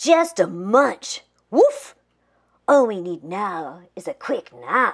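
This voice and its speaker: Speaking in a put-on character voice, the delivery crawls along very slowly. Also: woman, fairly high pitch for a woman. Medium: read story.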